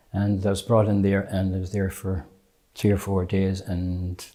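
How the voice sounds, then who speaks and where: A man's very deep, low voice with a dark, mellow tone, in a western Irish accent with monotone, flat intonation, on a very clean recording with a silent background. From Ireland, County Mayo. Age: 70s. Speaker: patient. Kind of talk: testimony. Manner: halting.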